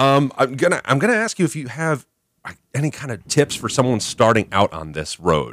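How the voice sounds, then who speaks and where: A man's medium-pitched voice with very wide pitch swings, vocal fry and a moderate pace. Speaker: radio host. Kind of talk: casual radio interview. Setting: radio studio. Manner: animated, chatty.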